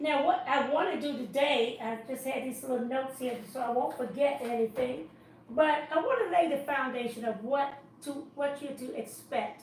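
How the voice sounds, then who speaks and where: A woman's high voice with ordinary pitch variation at a moderate pace, with audible room echo and noticeable background noise. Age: 70s. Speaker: dietitian and chef teaching cooking classes. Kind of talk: live-stream introduction talk. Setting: live online stream. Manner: casual, hesitant with fillers.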